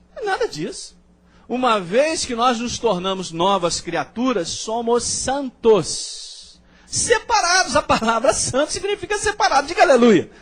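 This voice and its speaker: A man speaks at a fairly slow pace in an extremely high pitch, with very wide pitch swings. Noticeable background noise runs under his voice. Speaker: pastor. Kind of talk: sermon.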